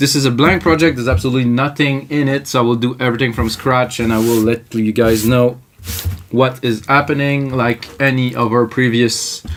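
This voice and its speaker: A man speaks at a fairly quick pace with fairly even intonation and very even loudness over light background noise. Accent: slight French Canadian. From Quebec. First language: French. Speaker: music producer, tutorial host; tutorial host. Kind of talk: live tutorial. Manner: casual, improvised. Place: home room. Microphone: camera far.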